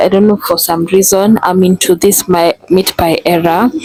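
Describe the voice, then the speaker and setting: Noticeable background noise over a dry, close sound with no echo. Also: woman. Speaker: vlogger. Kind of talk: casual vlog. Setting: out and about in shops.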